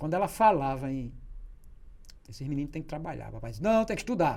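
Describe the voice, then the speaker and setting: A man talks at a medium pitch with a dark, mellow tone. Room echo can be heard. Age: 60s. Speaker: journalist. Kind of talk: casual interview storytelling.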